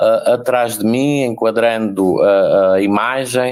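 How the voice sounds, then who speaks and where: A man talks at a very slow pace and a medium pitch. He speaks with an inland Portuguese accent. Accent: inland Portuguese, closed. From inland Portugal. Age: 60s. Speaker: special education teacher and lecturer. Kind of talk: panel talk. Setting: video call from home. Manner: halting.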